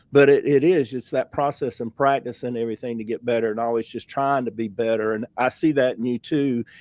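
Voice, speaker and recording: In a Southern US accent, a man speaks with hardly any pauses. The recording is very clean, with a silent background. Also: medium pitch for a man, fairly even intonation, fairly quick pace, dry, close sound with no echo. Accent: Southern US (Georgia). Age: 60s. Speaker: podcast host, painter. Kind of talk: casual interview chat. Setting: studio.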